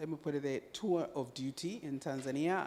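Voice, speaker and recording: A woman speaks at a moderate pace with a very deep, low pitch and a dark, mellow tone. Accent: Zambian. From Zambia. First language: Bemba. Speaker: UN agency country representative. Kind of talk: panel discussion. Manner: halting.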